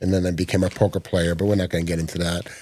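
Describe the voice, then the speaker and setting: On a very clean recording with a silent background, a man with an American accent speaks at a very fast pace in a dark, mellow tone. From New York. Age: 60s. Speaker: rock photographer. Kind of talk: podcast interview. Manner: halting, many fillers.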